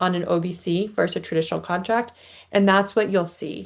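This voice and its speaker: A woman's medium-pitched voice against a quiet background. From Boston. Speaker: education nonprofit expert, webinar presenter. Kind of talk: webinar presentation with Q&A. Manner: fast.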